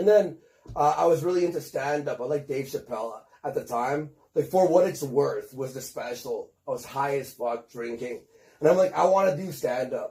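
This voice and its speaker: Dark and mellow in tone, a man's fairly high, somewhat breathy voice shows ordinary pitch variation. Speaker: internet personality, former stand-up comedian. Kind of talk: interview. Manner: fast, filler-heavy casual speech.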